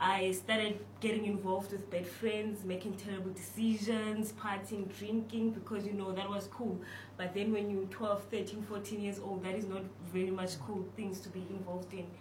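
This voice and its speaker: The speech comes in a monotone, flat intonation. Noticeable background noise and audible room echo surround it. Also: woman, medium pitch for a woman, moderate pace. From South Africa, Cape Town (Delft). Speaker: university student scholarship recipient. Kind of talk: interview.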